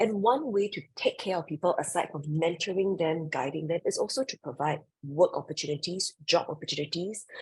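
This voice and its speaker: A woman's fairly low, somewhat breathy voice, with lively intonation, a fairly quick pace and hardly any pauses. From Singapore. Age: 40s. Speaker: creative director and professor. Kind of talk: interview.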